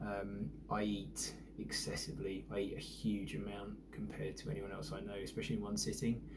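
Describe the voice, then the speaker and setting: Speaking at a moderate pace with a British accent, a man is heard with audible room echo. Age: 40s. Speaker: vlogger. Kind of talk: casual vlog monologue. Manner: hesitant, many fillers.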